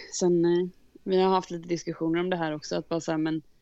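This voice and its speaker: A dark, mellow tone with monotone, flat intonation. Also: woman. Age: 30s. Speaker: wedding photographer and videographer. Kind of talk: casual interview.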